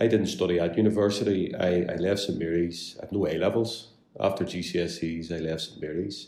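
In a Belfast accent, a man speaks with a very deep, low pitch, a dark, mellow tone and fairly even intonation. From Northern Ireland, West Belfast. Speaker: solicitor. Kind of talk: interview. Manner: halting, many fillers and repeats.

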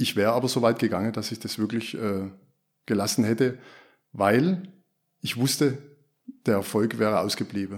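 A man at medium pitch with ordinary pitch variation and a moderate pace, long and frequent pauses, on a very clean recording with a silent background. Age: 50s. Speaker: former classic project manager, agile practitioner. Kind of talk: podcast interview. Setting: studio. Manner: hesitant with fillers.

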